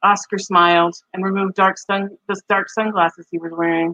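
In a Midwestern accent, a woman with a fairly low pitch and a bright, sharp tone speaks at a moderate pace with monotone, flat intonation in a dry, close sound with no echo. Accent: Midwest American. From Michigan, US Midwest. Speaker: podcast host and writer. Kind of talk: casual chat.

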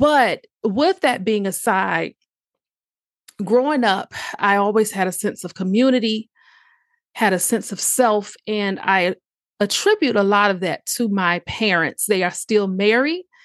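A woman with a normal speaking voice, a medium pitch and an American accent talks at a fairly slow pace with ordinary pitch variation, the sound dry and close with no echo against a quiet background. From US South, southeastern Virginia (Tidewater area). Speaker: holistic health and empowerment coach, podcast host. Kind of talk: monologue podcast, personal story.

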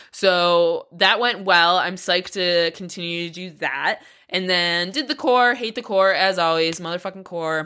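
A woman's fairly low voice, bright and sharp in tone, at a fairly slow pace with ordinary pitch variation and hardly any pauses, on a very clean recording with a silent background. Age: 30s. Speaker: podcast host and strength coach for climbers. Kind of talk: casual solo podcast monologue.

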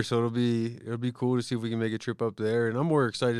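Speaking at a fairly quick pace, a man with an American accent has an unremarkable speaking voice at medium pitch. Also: very clean recording, silent background. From US East Coast, Pennsylvania (Philadelphia area). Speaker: podcast co-host. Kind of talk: casual chat.

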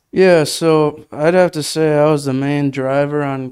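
This man talks in a monotone, flat intonation with a Wisconsin accent. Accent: Upper Midwest (Wisconsin). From Wisconsin, Menasha. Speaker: college angler and camera operator. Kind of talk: casual interview.

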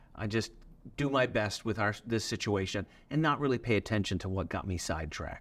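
An unremarkable speaking voice moves at a fairly quick pace with lively intonation in a very clean recording with a silent background. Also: man. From Newfoundland, Canada. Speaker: pastor. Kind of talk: interview.

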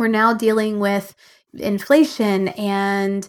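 A woman speaks at a fairly high pitch. Her tone is animated. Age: 40s. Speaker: business coach and podcast host. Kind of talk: solo podcast monologue.

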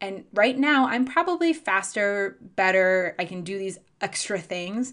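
Talking at a fairly slow pace, a woman has an American accent and a medium pitch. Her intonation is lively, and the background is quiet. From Chicago. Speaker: podcast host, book publicist. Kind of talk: solo podcast monologue.

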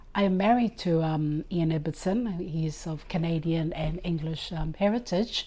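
A woman with a fairly low pitch and a dark, mellow tone speaks at a moderate pace, somewhat breathy, with ordinary pitch variation. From Cook Islands (Rarotonga). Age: 60s. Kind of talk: personal faith testimony.

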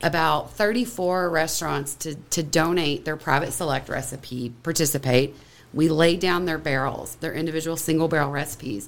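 In an American accent, a woman speaks at a moderate pace, her very deep, low voice showing vocal fry and ordinary pitch variation. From Kentucky. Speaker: whiskey blender and distillery co-founder. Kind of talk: casual chat.

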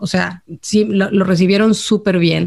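A woman speaks in a normal speaking voice. Her pace is fairly slow. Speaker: podcast co-host, expatriate. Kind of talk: casual chat.

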